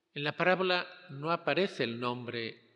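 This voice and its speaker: A fairly high-pitched man's voice with a bright, sharp tone and lively intonation. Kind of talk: homily.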